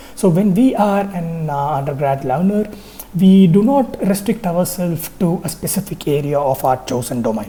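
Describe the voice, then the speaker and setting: With a Tamil accent, a woman talks at a moderate pace in a very deep, low pitch and lively intonation. Audible room echo and noticeable background noise surround her voice. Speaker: university lecturer. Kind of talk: lecture. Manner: hesitant with frequent fillers.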